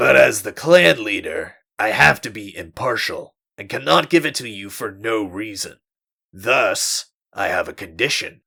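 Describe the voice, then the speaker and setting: Putting on a character voice, a man speaks at medium pitch and a moderate pace, with big swings in loudness. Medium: read story. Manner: measured, composed.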